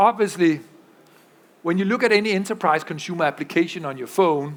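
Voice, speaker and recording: A man talks at a fairly quick pace in a high voice with ordinary pitch variation. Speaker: tech executive giving keynote. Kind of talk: conference keynote with live demo. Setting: pre-recorded video played at conference. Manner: fast.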